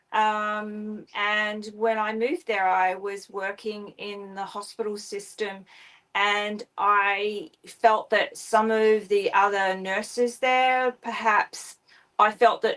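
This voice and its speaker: A woman speaks very slowly at a fairly high pitch in an Australian accent. Her intonation is monotone and flat. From Queensland, Australia. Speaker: spiritual author and astrologer. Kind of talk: interview. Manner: hesitant, many fillers.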